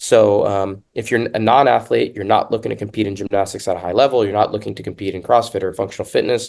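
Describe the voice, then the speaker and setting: Talking at a very fast pace, a man with a fairly low pitch shows vocal fry and fairly even intonation. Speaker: fitness podcast host. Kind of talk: casual podcast discussion. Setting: hotel room. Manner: loud.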